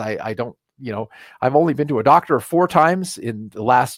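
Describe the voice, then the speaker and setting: Lively intonation carries speech that moves fairly quickly. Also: man. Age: 60s. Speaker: natural health educator. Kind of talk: live webinar lecture. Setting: live online broadcast. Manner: halting, with many repeated words.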